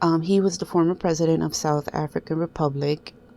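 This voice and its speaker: Speaking with a non-native accent, a woman uses a fairly low pitch. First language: not English. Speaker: coin collector video host. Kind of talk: casual show-and-tell tutorial. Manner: halting, many fillers.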